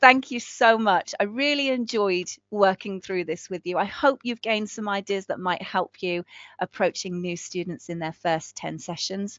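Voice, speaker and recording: With an English Midlands accent, a woman speaks in a warm, animated tone at a medium pitch. Her pace is moderate and her pitch variation ordinary. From England, Northampton. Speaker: ESL teacher trainer. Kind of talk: live webinar training. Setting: online live session.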